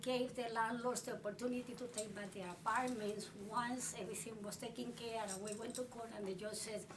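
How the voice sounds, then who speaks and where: Over noticeable background noise and audible room echo, a woman speaks in a monotone, flat way. Her pace is fairly quick, with hardly any pauses. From Puerto Rico. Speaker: tenant rights activist. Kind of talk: life story interview.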